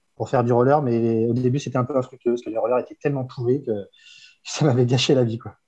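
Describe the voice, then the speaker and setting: Talking at a fairly quick pace, a man has a dark, mellow tone, a medium pitch and fairly even intonation. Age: 40s. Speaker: inline skater, photographer and fitness coach. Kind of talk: casual interview.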